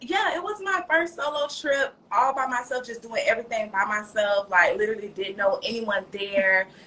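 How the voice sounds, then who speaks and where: A woman with an American accent speaks at a moderate pace with hardly any pauses, in an animated tone with a fairly high pitch and very wide pitch swings, over noticeable background noise. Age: 30s. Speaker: makeup artist. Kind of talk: casual interview chat. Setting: livestream podcast.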